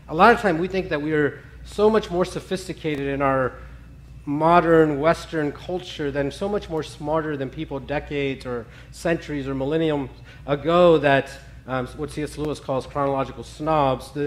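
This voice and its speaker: Here a man speaks at a moderate pace. His pitch varies in an ordinary way. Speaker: preacher. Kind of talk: sermon. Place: stage.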